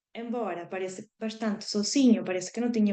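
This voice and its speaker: Pitched fairly high, a woman's voice moves at a moderate pace. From Argentina (Patagonia). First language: Spanish (speaking Portuguese). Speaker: marine scientist. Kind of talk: educational presentation to school classes. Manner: halting.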